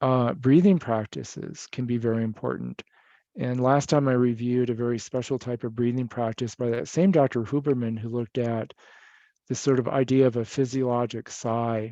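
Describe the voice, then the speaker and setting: A dark, mellow tone in an American accent, at a moderate pace with fairly even intonation and a dry, close sound with no echo. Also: man, medium pitch for a man. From Michigan. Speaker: psychiatrist presenter. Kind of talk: lecture. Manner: calm, soothing.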